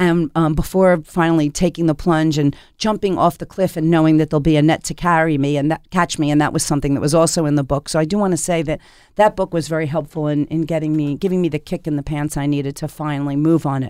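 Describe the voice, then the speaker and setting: On a very clean recording with a silent background, a woman with an American accent talks at a very fast pace, using a very deep, low pitch and fairly even intonation. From US Northeast, Philadelphia. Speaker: chef and restaurant owner. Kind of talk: interview. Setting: studio.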